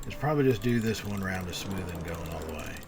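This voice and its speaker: The speaker has an American accent. Noticeable background noise runs underneath. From Texas. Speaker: video game streamer. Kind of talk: live stream gameplay commentary. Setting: live stream. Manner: casual, with frequent fillers and restarts.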